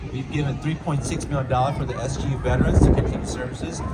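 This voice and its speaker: Speaking very fast, a man uses a medium pitch with ordinary pitch variation. Audible room echo and noticeable background noise fill the recording. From US Midwest, Saint Paul, Minnesota (Hmong refugee). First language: Hmong. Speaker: state legislator. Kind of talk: public speech.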